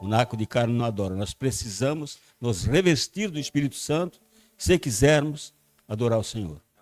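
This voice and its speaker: A man talks at a moderate pace with lively intonation, his voice dry and close with no echo, over music in the background. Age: 80s+. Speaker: pastor. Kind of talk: sermon.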